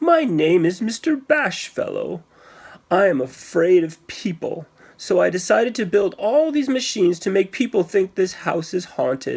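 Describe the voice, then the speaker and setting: The put-on character voice sounds squeaky, sitting at a middle pitch and moving at a moderate pace. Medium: read story. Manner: shy, stammering.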